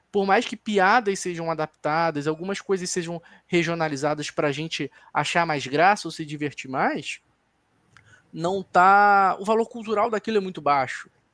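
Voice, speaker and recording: A man with a Carioca accent speaks at a high pitch and a moderate pace, with ordinary pitch variation. The recording is very clean and dry, close with no echo, and the background is silent. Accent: carioca, pronounced chiado s. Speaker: film critic on a debate panel. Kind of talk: panel discussion. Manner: analytical, some self-corrections.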